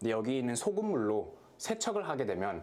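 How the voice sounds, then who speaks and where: At a moderate pace, the voice carries vocal fry and very wide pitch swings. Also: man. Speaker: product review vlogger. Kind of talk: product review tutorial. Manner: casual, animated.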